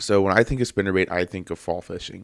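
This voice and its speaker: On a very clean recording with a silent background, a man rattles along at a very fast pace. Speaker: fishing podcast host. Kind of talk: solo podcast talk. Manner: casual, filler-heavy.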